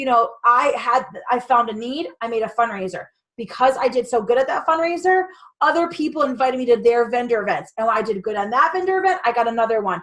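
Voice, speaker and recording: A loud, high-pitched woman at a fairly quick pace with lively intonation. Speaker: direct sales business coach. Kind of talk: motivational talk. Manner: animated.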